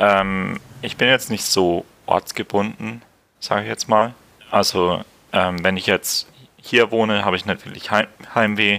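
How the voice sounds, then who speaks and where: Bright and sharp in tone, a man's fairly low voice moves at a fairly slow pace with long, frequent pauses. His intonation is fairly even, and the sound is dry and close with no echo. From Franconia, Germany. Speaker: emigrant, former student in Sweden. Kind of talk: casual interview. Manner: hesitant, many fillers.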